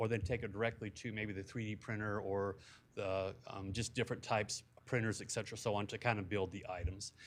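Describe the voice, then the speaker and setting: This man talks at a fairly quick pace. His recording is very clean, with a silent background. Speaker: youth club director. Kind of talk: presentation to city council. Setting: city council meeting. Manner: fast.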